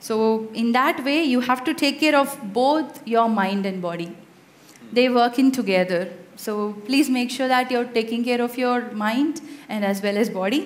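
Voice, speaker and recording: In a Tamil accent, a woman with a high voice speaks at a fairly slow pace amid noticeable background noise and audible room echo. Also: ordinary pitch variation. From India, Madurai (Tamil Nadu). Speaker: conference speaker, software tester. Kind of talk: conference talk with Q&A.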